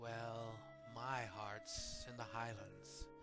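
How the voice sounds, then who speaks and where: With music playing behind him, a man talks at a medium pitch. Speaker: poetry performer. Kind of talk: dramatic poetry reading.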